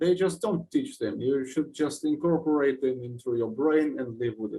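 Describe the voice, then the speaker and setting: A man with a Russian accent, fairly high in pitch, somewhat breathy and dark, mellow in tone, at a moderate pace. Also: ordinary pitch variation. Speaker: musician guest. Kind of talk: casual interview chat.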